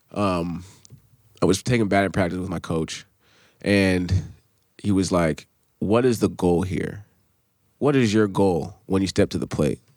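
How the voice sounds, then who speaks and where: A man with an American accent speaks in a very deep, low voice. His pace is fairly slow, with long, frequent pauses. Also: ordinary pitch variation, very clean recording, silent background. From US, New Hampshire. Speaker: former college athlete and rapper. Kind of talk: casual interview.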